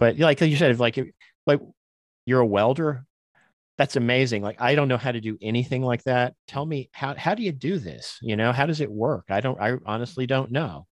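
A man talks in a normal speaking voice at medium pitch and a fairly quick pace. Pitch varies in an ordinary way, and the sound is dry and close with no echo. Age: 50s. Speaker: podcaster and tabletop gamer. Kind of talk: casual chat.

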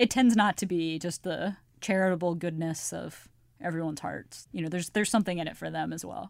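A plain, everyday voice from a woman, fairly low in pitch, with ordinary pitch variation, big swings in loudness and a fairly quick pace, on a very clean recording against a silent background. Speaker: political journalist guest. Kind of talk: casual chat.

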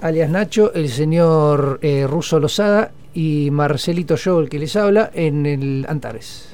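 With hardly any pauses, a man in an ordinary speaking voice talks at a fairly slow pace, his fairly high pitch showing ordinary pitch variation. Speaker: radio host. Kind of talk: casual music radio talk.

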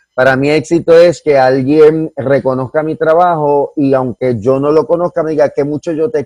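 A man speaks at a fairly slow pace in a dark, mellow tone with fairly even intonation, the sound dry and close with no echo. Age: 40s. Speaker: comedian. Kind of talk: casual chat.

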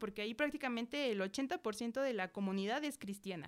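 A woman is talking at a moderate pace. Her voice sits fairly high, and its pitch varies in an ordinary way. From central Mexico. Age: 20s. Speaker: church member and Sunday school teacher. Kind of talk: testimony.

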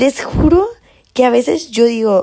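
Her fairly high pitch comes with a dark, mellow tone as this woman speaks. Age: 20s. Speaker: podcast host. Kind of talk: casual motivational monologue. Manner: animated.

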